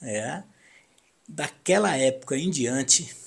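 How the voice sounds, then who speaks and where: Somewhat breathy, this man speaks in a fairly high pitch with ordinary pitch variation. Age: 60s. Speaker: radio broadcaster. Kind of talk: personal reminiscence monologue. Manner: halting.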